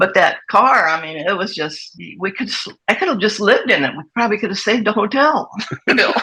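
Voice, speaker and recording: Speaking fairly quickly with an American accent, a woman uses a bright, sharp tone at medium pitch with lively intonation. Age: 80s+. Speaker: hot rod racer. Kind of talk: casual chat.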